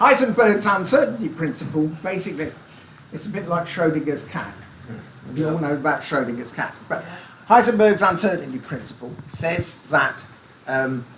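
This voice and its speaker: Over noticeable background noise and audible room echo, a man talks in a high pitch with very wide pitch swings. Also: moderate pace. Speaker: amateur radio speaker. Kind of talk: club talk. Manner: light-hearted.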